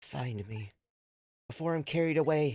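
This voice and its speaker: Over music in the background, a man does a put-on character voice at medium pitch, with lively intonation and a moderate pace. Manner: pleading call for help.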